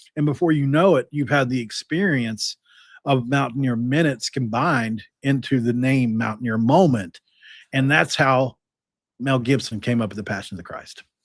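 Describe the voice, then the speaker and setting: A man with a medium-pitched voice and ordinary pitch variation is heard on a very clean recording against a silent background. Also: moderate pace. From West Virginia, Mingo County. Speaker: sports podcast host. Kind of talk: casual chat.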